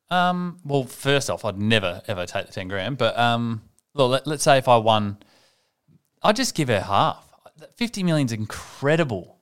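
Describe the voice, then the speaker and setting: With an Australian accent, a man speaks at a medium pitch and a moderate pace, his intonation lively. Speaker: podcast co-host. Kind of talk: casual chat.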